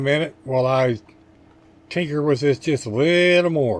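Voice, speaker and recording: A man speaks in an unremarkable speaking voice at a moderate pace. His pitch is fairly high, with ordinary pitch variation. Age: 60s. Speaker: model car hobbyist. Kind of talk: tutorial. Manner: casual, folksy.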